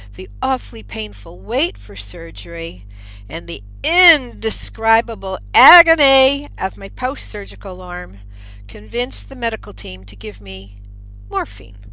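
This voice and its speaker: Music plays in the background as a woman speaks. Her loudness swings widely. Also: fairly slow pace. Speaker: radio show host and author. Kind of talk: radio monologue; reading aloud from own book. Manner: occasional stutter.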